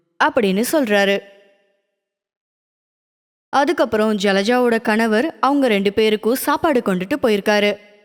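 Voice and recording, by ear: Her voice sits fairly high for a woman, moving at a moderate pace with ordinary pitch variation and long, frequent pauses.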